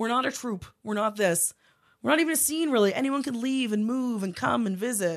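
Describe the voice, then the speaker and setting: Over a quiet background, a woman speaks in a normal speaking voice at a fairly quick pace, with fairly high pitch and lively intonation. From Prince Edward Island, Canada. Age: 30s. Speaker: stand-up comedian. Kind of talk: casual chat.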